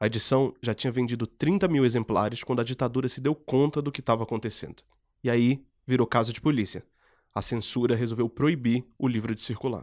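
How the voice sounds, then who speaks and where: Recorded very cleanly against a silent background, with a dry, close sound and no echo, a man talks fairly quickly at a medium pitch, his intonation fairly even. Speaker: podcast host. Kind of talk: scripted narration.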